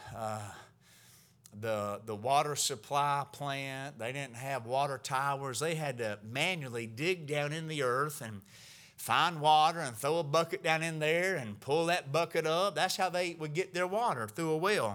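With a bright, sharp, animated tone, a man talks at a fairly slow pace. His pitch is fairly high for a man, with ordinary variation. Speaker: pastor. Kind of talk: sermon. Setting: church. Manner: animated, exhorting the congregation; preacherly, with call-and-response cadence.

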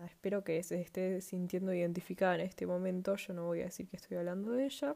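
Here a woman talks at medium pitch. Her tone is dark and mellow. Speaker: podcast host. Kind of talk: casual podcast monologue. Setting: home living room at night.

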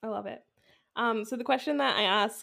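A woman talking very fast with a Canadian accent and ordinary pitch variation. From Canada, Vancouver. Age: 20s. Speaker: podcast host, marketing mentor. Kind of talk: casual interview chat.

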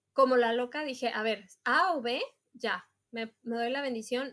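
A woman with a Mexican accent speaks at a high pitch with ordinary pitch variation. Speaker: multilingual executive assistant. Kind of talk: casual chat.

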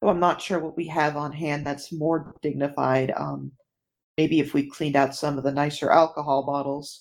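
A woman's very deep, low voice, monotone and flat, at a moderate pace on a very clean recording with a silent background. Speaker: tabletop game player. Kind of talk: casual tabletop game chat.

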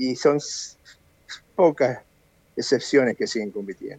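The recording has a dry, close sound with no echo as a man speaks at a fairly slow pace in a dark, mellow tone with ordinary pitch variation. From Argentina, Buenos Aires. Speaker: karate master. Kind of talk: interview.

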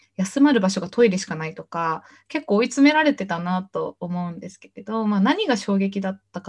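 A woman speaks at a medium pitch with a somewhat breathy tone. Her pitch swings very widely as she talks. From Japan, Shimane. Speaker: entrepreneur. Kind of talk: interview.

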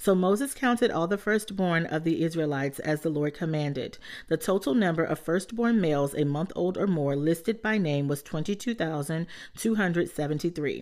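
Speaking at a fairly quick pace with lively intonation and very even loudness, a woman with an unremarkable speaking voice and fairly low pitch comes through on a very clean recording with a silent background. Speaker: Bible reader podcast host. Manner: steady, reverent, even-paced; warm, encouraging.

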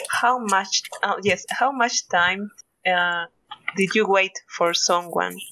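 A very slow woman's voice in a Spanish accent, medium in pitch, with fairly even intonation and very even loudness. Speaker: podcast co-host. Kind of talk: casual chat.

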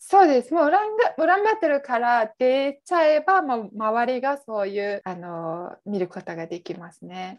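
A woman's high voice at a fairly slow pace with hardly any pauses, very wide pitch swings and big swings in loudness over a quiet background. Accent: Mongolian. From western Mongolia. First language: Mongolian (speaking Japanese). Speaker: office worker. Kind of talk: casual interview.

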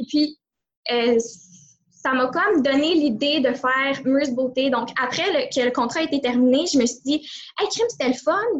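Speaking with a Quebec accent, a woman with a high voice keeps a moderate pace. Her pitch varies in an ordinary way, with long, frequent pauses. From Quebec, greater Montreal. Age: 20s. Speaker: entrepreneur. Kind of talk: interview.

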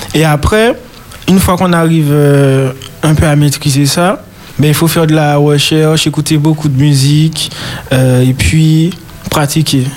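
With noticeable background noise behind him, a man with a fairly high voice speaks at a fairly slow pace, leaving long, frequent pauses, his loudness very even and his intonation fairly even. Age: 20s. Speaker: church guitarist. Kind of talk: radio interview. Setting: studio.

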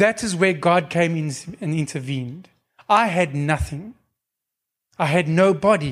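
Pausing long and often, a man with a high pitch speaks at a fairly slow pace with ordinary pitch variation. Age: 40s. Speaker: lay preacher. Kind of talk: sermon.

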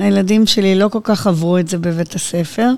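On a very clean recording with a silent background, a woman has a plain, everyday voice at medium pitch with ordinary pitch variation. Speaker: interviewee, blind mother. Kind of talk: interview.

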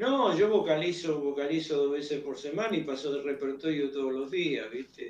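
With hardly any pauses, a man speaks at a moderate pace and a fairly high pitch, with ordinary pitch variation over noticeable background noise. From Buenos Aires, Argentina. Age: 80s+. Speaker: tango singer. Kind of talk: interview. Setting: remote call.

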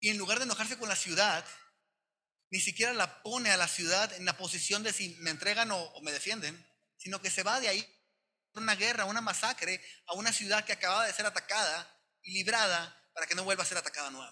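Speaking at a very fast pace, a man projects a raised, high voice with a bright, sharp tone and ordinary pitch variation. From Sonora, northern Mexico. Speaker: pastor. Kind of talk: sermon.

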